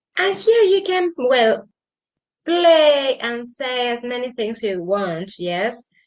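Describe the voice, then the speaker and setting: Speaking at a very slow pace with a Spanish accent, a woman uses a high pitch with very wide swings. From Argentina. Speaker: English teacher. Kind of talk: tutorial. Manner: halting.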